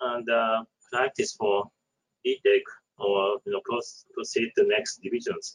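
A man with a Japanese accent at a fairly slow pace, dry and close with no echo. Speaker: architect and panelist. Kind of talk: panel discussion. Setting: online webinar.

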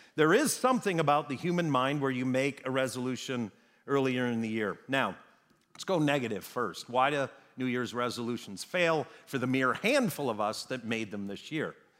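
A man with an American accent has an ordinary speaking voice at medium pitch, with ordinary pitch variation and a moderate pace. The recording is very clean with a silent background. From Wisconsin. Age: 50s. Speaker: pastor. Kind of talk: sermon. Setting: church sanctuary with congregation.

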